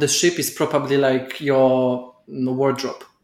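A man with a non-native accent, fairly high in pitch, at a fairly slow pace. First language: not English. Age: 20s. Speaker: ex-competitive dancer. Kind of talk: casual chat.

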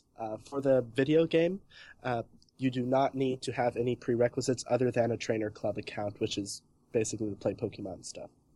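A man's dark, mellow voice at a medium pitch with ordinary variation and a fairly quick pace, on a very clean recording with a silent background. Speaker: Pokemon competitive writer. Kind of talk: casual chat.

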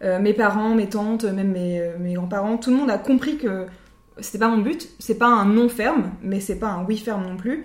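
Using a normal speaking voice, a woman talks at a moderate pace, fairly high in pitch with ordinary pitch variation. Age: 20s. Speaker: podcast co-host. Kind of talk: casual chat.

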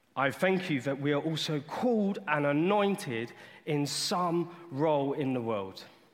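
Lively intonation runs through this man's fairly high voice. Audible room echo surrounds him. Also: fairly slow pace. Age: 20s. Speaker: lay preacher. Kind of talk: sermon. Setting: church. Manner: animated.

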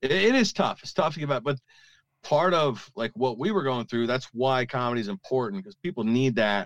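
A man with a normal speaking voice talks at a fairly quick pace in a medium pitch, his intonation lively, against a quiet background with a dry, close sound and no echo. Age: 40s. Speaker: stand-up comedian, navy veteran and former radio host. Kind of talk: casual interview.

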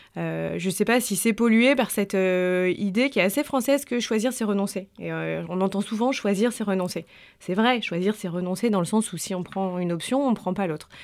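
A woman's normal speaking voice at medium pitch, moderate pace and ordinary pitch variation, with hardly any pauses, on a very clean recording with a silent background. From French Alps. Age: 30s. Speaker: journalist and author. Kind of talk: interview.

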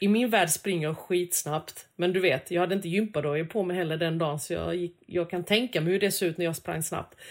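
A woman speaks in a plain, everyday voice with a fairly low pitch. She talks at a fairly quick pace with hardly any pauses. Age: 40s. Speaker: food podcast co-host. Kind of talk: casual chat.

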